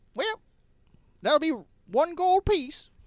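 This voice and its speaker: A put-on character voice is heard. It sits at a high pitch. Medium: actual play. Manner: folksy, rough.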